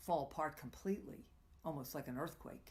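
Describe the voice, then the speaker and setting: With vocal fry in her voice, a woman speaks at a moderate pace. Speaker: tantra coach and live show host. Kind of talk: live coaching talk. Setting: live stream broadcast.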